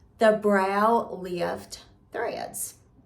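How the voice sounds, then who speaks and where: A woman with a Southern US accent at a very slow pace and medium pitch, with audible room echo. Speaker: beauty and lifestyle vlogger. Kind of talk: casual vlog talk to camera. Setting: at home.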